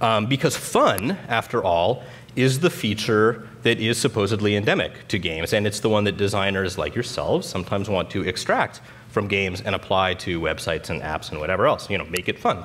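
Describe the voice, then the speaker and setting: A fairly quick pace from a man with a fairly low voice and ordinary pitch variation. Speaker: conference speaker. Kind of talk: lecture. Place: stage. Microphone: headset.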